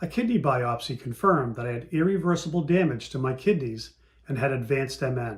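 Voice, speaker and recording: The delivery is at a moderate pace with ordinary pitch variation. It is an ordinary speaking voice. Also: man. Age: 60s. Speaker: patient panelist. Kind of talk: testimony. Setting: virtual meeting. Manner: reading prepared statement.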